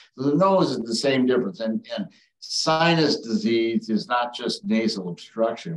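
Music plays in the background and the room echo is audible. A man with an Upper Midwest accent speaks at a moderate pace with lively intonation. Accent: Upper Midwest American. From northern Wisconsin. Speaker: retired ENT surgeon. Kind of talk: educational talk. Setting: video call. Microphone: video call.

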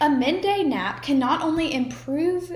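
The speaker is a woman with an American accent, talking at a moderate pace. There is audible room echo. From United States. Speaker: student speaker. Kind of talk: persuasive speech. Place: home room. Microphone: webcam.

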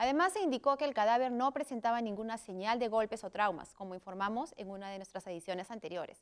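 The speech moves at a very fast pace with lively intonation. The background is quiet. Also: woman, fairly high pitch for a woman, hardly any pauses, big swings in loudness. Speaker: co-anchor. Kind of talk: news reading. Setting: studio. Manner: formal, even and measured newsreader tone. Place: studio. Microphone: lapel.

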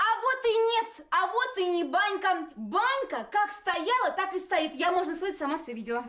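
Putting on a character voice, a woman speaks at an extremely high pitch with big pitch swings, a bright, sharp tone and a moderate pace.

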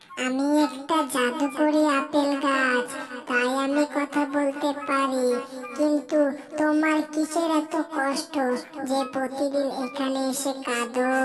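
In a cartoonish character voice, a female-sounding speaker talks very slowly at a high pitch over clear background noise. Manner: kind, soothing.

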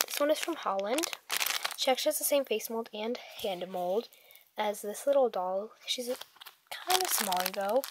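The speaker uses lively intonation at a moderate pace. Noticeable background noise is present. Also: woman. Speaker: toy reviewer. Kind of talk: product review. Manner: casual, hesitant.

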